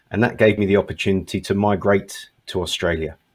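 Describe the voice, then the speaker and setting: A somewhat breathy man with a British accent at a fairly low pitch. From Britain. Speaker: English test company manager. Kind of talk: panel discussion.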